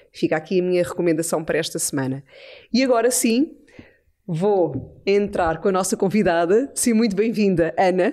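A woman speaks at a medium pitch with a dark, mellow tone. Her intonation is lively, and the background is quiet. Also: moderate pace. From Portugal. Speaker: podcast host. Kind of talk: casual chat; podcast conversation. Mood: warm, reflective. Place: studio. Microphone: studio mic.

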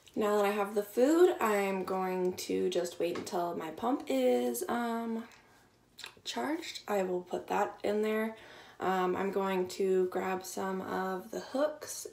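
A woman talks at a very slow pace, with audible room echo around her voice. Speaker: vlogger. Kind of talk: casual vlog chat. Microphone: phone near.

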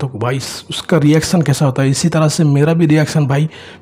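An ordinary speaking voice moves along at a moderate speed. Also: man. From Odisha, India. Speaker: mobile game streamer. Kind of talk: live gameplay commentary.

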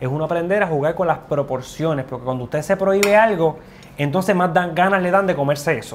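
Over light background noise, a man speaks at a very fast pace with a high pitch and ordinary pitch variation. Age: 40s. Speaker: nutrition show host. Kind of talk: cooking show chat. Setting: kitchen. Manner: animated. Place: kitchen. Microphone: lapel.

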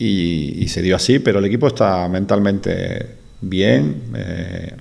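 A man talks in an ordinary speaking voice, pitched fairly low. His intonation is lively. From Andalusia, Spain. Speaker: basketball coach. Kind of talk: press conference answer. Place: meeting room. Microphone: podium.

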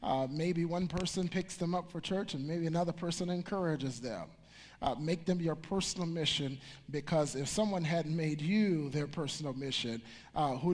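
A moderate pace and ordinary pitch variation. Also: man. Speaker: pastor. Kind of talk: sermon. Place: church. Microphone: headset.

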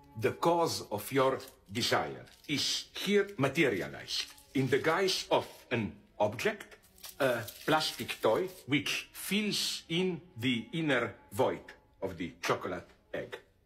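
Faint music plays in the background as a man speaks at a very slow pace. His speech has long, frequent pauses. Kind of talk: lecture. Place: home room.

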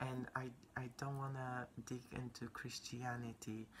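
Quiet and very slow, a woman with a Polish accent speaks in a very deep, low voice with a bright, sharp tone and flat, monotone intonation over light background noise. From Poland. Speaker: vlogger. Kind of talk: casual chat. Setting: indoors at home. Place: home room. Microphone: phone near.

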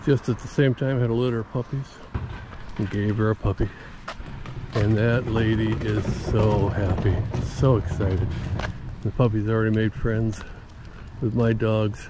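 Over noticeable background noise, a man with a fairly low pitch speaks at a moderate pace with fairly even intonation and long, frequent pauses, the sound dry with no echo. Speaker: older man vlogger travelling and greeting strangers. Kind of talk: casual talk to camera. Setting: outdoors, recorded on the road. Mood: upbeat, positive. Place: street. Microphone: phone near.

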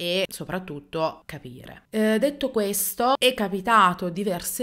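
Against a quiet background, the words come at a very slow pace with ordinary pitch variation. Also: woman. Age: 30s. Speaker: YouTuber telling paranormal stories. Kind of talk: unscripted personal storytelling to camera. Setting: seated alone in front of camera. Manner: hesitant, many fillers. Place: home room. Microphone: studio mic.

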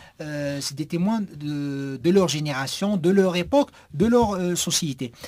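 The background is quiet. A man with a high pitch talks at a moderate pace. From Algeria. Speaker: writer and poet; poet. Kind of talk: radio interview. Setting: radio studio. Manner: halting with repetitions.

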